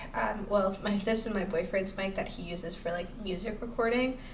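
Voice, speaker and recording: A woman's medium-pitched voice with fairly even intonation, in audible room echo. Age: 20s. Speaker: book reviewer, YouTuber. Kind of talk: casual book review. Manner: casual, hesitant with fillers.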